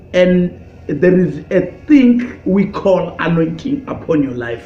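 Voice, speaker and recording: A man speaks at a high pitch and a fairly slow pace, with audible room echo and noticeable background noise. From South Africa, Eastern Cape. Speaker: pastor. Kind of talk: sermon. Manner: halting, code-switching.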